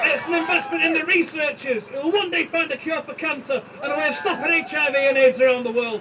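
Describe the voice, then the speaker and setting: In a Manchester accent, the speaker races along at a very fast pace with hardly any pauses and ordinary pitch variation, against noticeable background noise. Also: man, extremely high pitch for a man. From East Manchester, England. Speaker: union organiser. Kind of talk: rally speech. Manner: impassioned.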